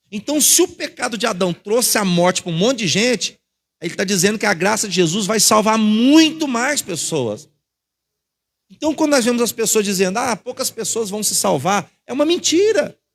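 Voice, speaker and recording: At a moderate pace, a man with a Brazilian accent talks in a high pitch with lively intonation. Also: very clean recording, silent background. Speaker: pastor. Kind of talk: sermon.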